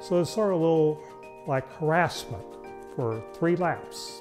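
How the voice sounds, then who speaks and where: Clear music plays in the background. A man speaks over it. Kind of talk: interview answer. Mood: amused storytelling. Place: workshop.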